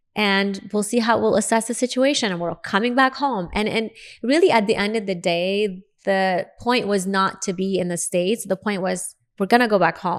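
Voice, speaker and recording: Someone speaks in an Arabic accent at a moderate pace with ordinary pitch variation. The recording is very clean, with a silent background. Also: woman, medium pitch for a woman. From Lebanon, Beirut. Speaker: dentist and speaker. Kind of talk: interview storytelling.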